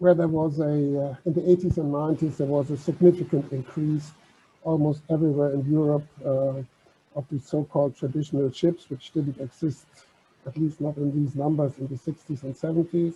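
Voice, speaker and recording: Somewhat breathy and dark, mellow in tone, a man speaks at a fairly quick pace with a fairly high pitch and monotone, flat intonation. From Germany. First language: German. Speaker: maritime heritage organisation officer. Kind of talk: conference talk.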